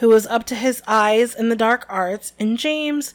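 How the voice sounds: A natural reading voice with ordinary pitch variation.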